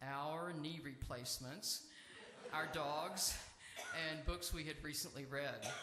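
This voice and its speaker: Audible room echo surrounds a man speaking at a fairly high pitch. He talks at a fairly slow pace with fairly even intonation. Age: 70s. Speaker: seminarian preacher. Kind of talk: sermon. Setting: church sanctuary.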